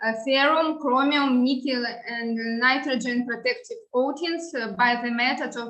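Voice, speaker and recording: A woman with a Russian accent projects a raised, bright, sharp, high-pitched voice at a moderate pace with ordinary pitch variation. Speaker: researcher. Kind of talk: conference presentation. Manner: halting, frequent filler sounds.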